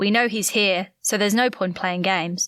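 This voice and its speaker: In a put-on character voice, a woman growls at a moderate pace with fairly even intonation. Her loudness stays very even. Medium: read story. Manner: clipped, authoritative.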